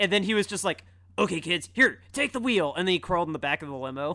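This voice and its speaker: Over a silent background in a very clean recording, a man projects a raised voice with a bright, sharp, animated tone. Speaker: film review podcast co-host. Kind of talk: casual chat. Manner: animated, laughing often.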